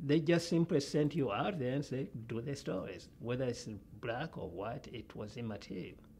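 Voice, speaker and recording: Somewhat breathy and with lively intonation, a man talks in a non-native accent. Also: medium pitch for a man, moderate pace. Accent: foreign. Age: old. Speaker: journalism professor. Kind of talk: interview. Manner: halting.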